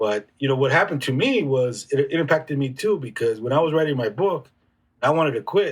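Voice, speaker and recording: A somewhat breathy man with an American accent talks at a fairly quick pace, his fairly high pitch moving in lively intonation. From Southern California (San Diego area). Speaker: author and youth mentor. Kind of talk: podcast interview. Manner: animated storytelling.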